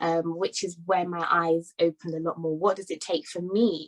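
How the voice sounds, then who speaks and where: A woman's voice in a British accent, dry and close with no echo. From London, England. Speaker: summit speaker. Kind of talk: talk at virtual summit.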